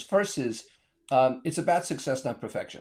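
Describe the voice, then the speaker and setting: Vocal fry runs through this man's fairly quick delivery. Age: 80s+. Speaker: consultant and author. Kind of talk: casual interview chat.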